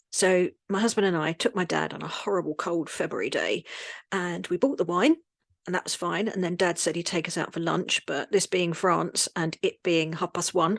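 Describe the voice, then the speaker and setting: A woman with a London accent speaks at a moderate pace and a fairly low pitch, with fairly even intonation. The sound is dry and close with no echo, and the background is quiet. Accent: Cockney London. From London, England. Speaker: expat website and magazine creator. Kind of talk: podcast interview storytelling.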